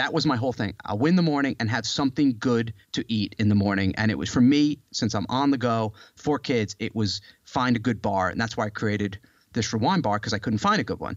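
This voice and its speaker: A man's normal speaking voice at a medium pitch, with ordinary pitch variation and a fairly quick pace. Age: 40s. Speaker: author and health entrepreneur. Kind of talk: casual chat.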